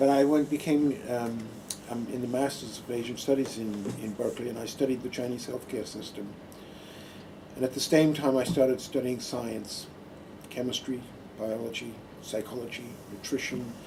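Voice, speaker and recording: Amid audible room echo, a man speaks at a moderate pace and medium pitch, with fairly even intonation and long, frequent pauses. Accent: American. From Australia, Adelaide. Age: 60s. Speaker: retired nurse and Buddhist monk giving a talk. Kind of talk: personal talk to an audience. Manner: hesitant, with many fillers.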